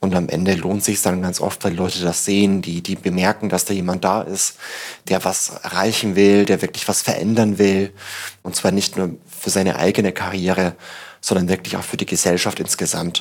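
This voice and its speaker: Monotone, flat intonation and a very deep, low pitch mark this man's moderate-paced speech. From Bavaria, Upper Palatinate (Tirschenreuth). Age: 30s. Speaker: startup evangelist and author. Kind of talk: interview conversation. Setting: on location at a Berlin office.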